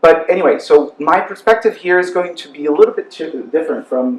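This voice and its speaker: A man with a Portuguese accent at a very fast pace over noticeable background noise. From Brazil. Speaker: human rights specialist. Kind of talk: panel presentation. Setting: university panel with audience. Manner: halting.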